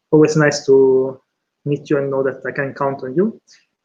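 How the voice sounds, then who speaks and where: A man in an Italian accent, fairly high-pitched, at a moderate pace with monotone, flat intonation. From Italy, San Benedetto. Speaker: PhD candidate. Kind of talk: thesis defense acknowledgements speech. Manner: halting, many fillers.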